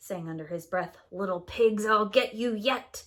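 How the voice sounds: What you hear is a natural reading voice with ordinary pitch variation.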